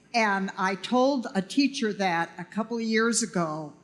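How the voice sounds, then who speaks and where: Noticeable background noise sits behind a woman with a medium-pitched voice. She speaks very slowly with lively intonation. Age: 70s. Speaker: audience member. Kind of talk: audience question. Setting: banquet with audience.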